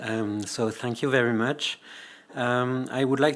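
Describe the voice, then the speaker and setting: Using a French accent, a man talks at a fairly slow pace in a medium pitch with ordinary pitch variation. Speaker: anthropology professor. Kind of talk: lecture. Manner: halting.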